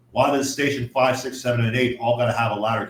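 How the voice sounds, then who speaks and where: At a very fast pace, a man speaks in a monotone, flat way at medium pitch, with noticeable background noise behind him. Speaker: firefighter. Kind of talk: casual chat. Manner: loud.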